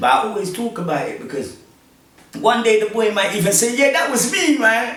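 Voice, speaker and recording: There is noticeable background noise and audible room echo in this clip. A man speaks in a London accent. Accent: London multicultural English. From South London, England (born Congo, moved at five). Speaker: podcast host. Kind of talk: casual interview chat.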